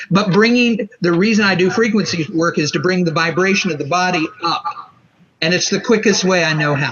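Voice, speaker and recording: Talking at a fairly quick pace, a man speaks at a high pitch with ordinary pitch variation. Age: 60s. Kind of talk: interview. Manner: halting.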